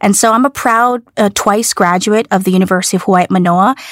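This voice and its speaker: On a very clean recording with a silent background and a dry, close sound with no echo, a woman with an unremarkable speaking voice talks at medium pitch with ordinary pitch variation. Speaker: business executive. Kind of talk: interview.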